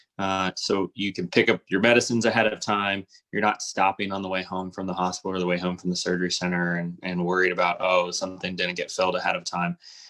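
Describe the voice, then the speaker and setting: A man with a Midwestern accent rushes at a very fast pace with hardly any pauses, his very deep, low voice bright and sharp in tone yet monotone and flat in intonation. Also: dry, close sound with no echo. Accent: general American (Midwest). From US Midwest, Cincinnati, Ohio. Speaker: orthopedic surgeon. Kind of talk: interview. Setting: live video stream.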